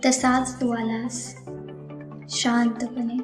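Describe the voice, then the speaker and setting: Music plays in the background behind speech delivered in a monotone, flat intonation. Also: woman. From Amravati, Maharashtra, India. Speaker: poet. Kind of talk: romantic poetry reading. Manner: soft, emotional.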